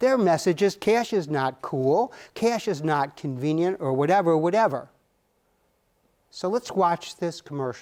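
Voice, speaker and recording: A man with an American accent speaks at a fairly slow pace in a high pitch, his intonation lively. The recording is very clean, with a silent background. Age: 70s. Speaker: retired judge teaching personal finance. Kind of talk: lecture.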